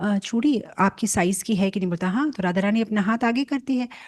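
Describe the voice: The text is read out plainly. Its pitch shifts in an ordinary manner.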